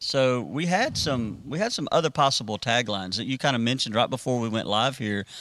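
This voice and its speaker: Hardly pausing, a man with an ordinary speaking voice talks at medium pitch and a fairly quick pace. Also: ordinary pitch variation. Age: 40s. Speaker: student ministry pastor. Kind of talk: casual chat.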